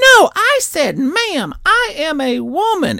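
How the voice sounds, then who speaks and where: Fairly slow delivery in a put-on character voice. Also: man, extremely high pitch for a man. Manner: mocking, indignant.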